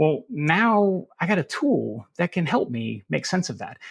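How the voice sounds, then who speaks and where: In a very clean recording with a silent background, a man with a Southern US accent speaks with lively intonation. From US South. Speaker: cybersecurity expert. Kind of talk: podcast interview.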